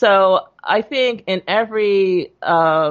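This woman speaks at a medium pitch. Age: 60s. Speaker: doctor. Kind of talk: interview.

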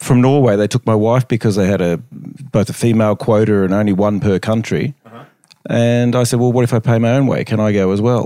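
In an Australian accent, a man talks at medium pitch and a fairly quick pace, his dark, mellow tone holding very even loudness and fairly even intonation. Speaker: chiropractic researcher. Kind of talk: casual chat. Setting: hotel room.

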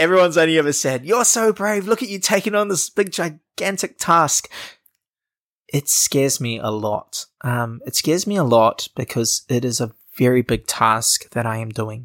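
At a moderate pace, a man with fairly high pitch makes very wide pitch swings in a dry, close sound with no echo. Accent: New Zealand. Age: 20s. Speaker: social entrepreneur. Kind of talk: casual interview. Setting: in person at host's house.

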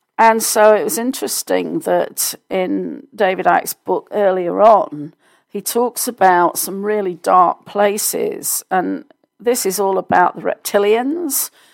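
A woman with a British accent at a fairly slow pace, recorded very cleanly with a silent background and a dry, close sound with no echo. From United Kingdom. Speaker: podcast host and success coach. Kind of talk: solo news commentary.

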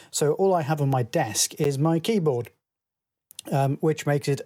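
This man speaks at a fairly slow pace in a dark, mellow tone that is somewhat breathy, with ordinary pitch variation. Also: dry, close sound with no echo. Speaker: listener sending voicemail. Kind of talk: voicemail.

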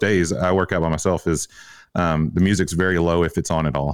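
A Tennessee accent on a very clean recording with a silent background. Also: man. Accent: Southern US (Tennessee). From Tennessee, US South. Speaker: fitness coach and gym owner. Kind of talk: casual interview chat.

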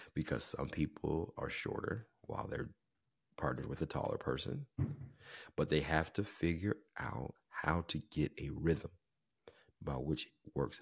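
A man talks at a moderate pace with vocal fry. His pitch is very deep and low. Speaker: podcast host. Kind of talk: faith-based podcast talk. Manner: conversational with fillers.

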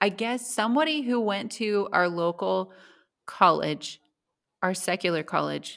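On a very clean recording with a silent background, a woman speaks at a moderate pace with vocal fry and ordinary pitch variation. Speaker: podcast host. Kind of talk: casual chat.

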